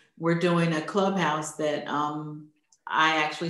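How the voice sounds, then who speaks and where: Speaking at a very slow pace in a monotone, flat delivery, a woman with an American accent uses a fairly low pitch, and audible room echo surrounds her. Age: 60s. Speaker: interview host, online networking founder. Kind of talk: interview.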